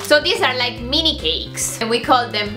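A woman speaks in a raised, projected voice over clear music in the background. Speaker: vlogger. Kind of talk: casual vlog chat, food tasting. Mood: cheerful, upbeat. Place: home room. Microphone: phone near.

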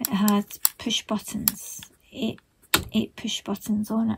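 A woman's voice with light background noise. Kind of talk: tutorial with personal anecdote. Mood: relaxed, reminiscing. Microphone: phone near.

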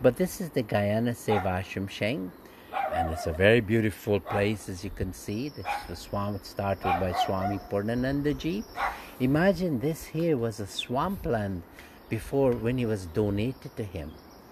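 Loud background noise fills the recording. Through it, a man talks at a moderate pace. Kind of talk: casual guided tour commentary. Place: open country. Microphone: phone near.

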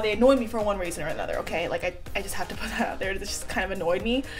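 A woman's voice with ordinary pitch variation, clear music playing in the background. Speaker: beauty vlogger. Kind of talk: casual vlog chat. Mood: relaxed, chatty, laughing. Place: home room. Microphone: phone near.

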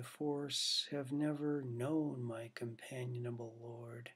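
Over a quiet background, a man talks at a very slow pace with fairly even intonation. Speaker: poet reading own work. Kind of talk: poem reading, read aloud from his own long poem. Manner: measured, deliberate, formal cadence. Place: home room. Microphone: webcam.

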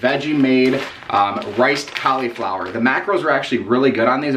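Under light background noise, a man talks at a moderate pace with ordinary pitch variation. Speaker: fitness diet vlogger. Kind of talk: casual vlog chat. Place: home room.

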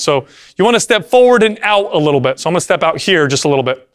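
A man talking at a very fast pace. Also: quiet background. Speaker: fitness trainer. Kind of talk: tutorial. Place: gym.

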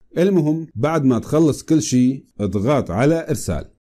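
A man with a Syrian accent has a dark, mellow tone and lively intonation, speaking at a fairly slow pace. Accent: Syrian Levantine Arabic. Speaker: tech tutorial youtuber. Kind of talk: tutorial.

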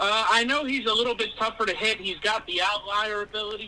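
A man's raised, projected voice with an American accent, fairly quick pace, ordinary pitch variation, and light background noise. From New York City, the Bronx. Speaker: sports card seller. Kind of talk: casual chat while playing a video game. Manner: hesitant, many fillers. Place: home room.

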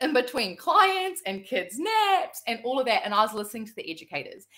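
In a New Zealand accent, a woman with a high pitch and a bright, sharp tone speaks at a moderate pace with very wide pitch swings against a quiet background. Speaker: entrepreneur and former salon owner; guest. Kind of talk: personal testimony. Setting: video call. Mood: warm, grateful storytelling. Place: home room.

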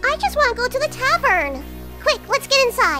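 An extremely high, bubbly put-on character voice talks at a moderate pace over clear background music. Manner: bubbly, scatterbrained, excitable.

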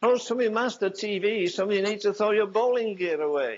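This man speaks at a fairly quick pace with a high pitch. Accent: Yorkshire. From England. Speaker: preacher. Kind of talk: sermon preached to a congregation. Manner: emphatic, earnest, fiery. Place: church.

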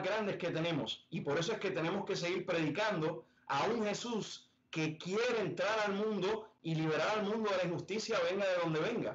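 The speaker talks at a fairly quick pace with ordinary pitch variation and very even loudness. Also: man. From Puerto Rico. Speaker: Jesuit in training. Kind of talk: panel discussion. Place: home room. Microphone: video call.

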